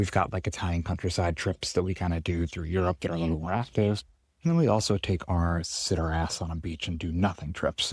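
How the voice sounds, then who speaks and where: Whispering quietly at a fairly quick pace, a man is heard on a very clean recording with a silent background. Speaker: chiropractor podcast host. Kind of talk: casual monologue. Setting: outdoors on a farm.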